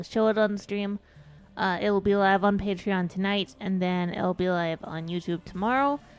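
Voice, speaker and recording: A woman speaks quietly at medium pitch with music in the background. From United States. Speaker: VTuber streamer. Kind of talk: casual live stream chat.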